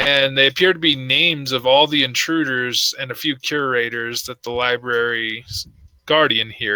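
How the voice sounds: This is a natural reading voice. It is heard reading the text aloud.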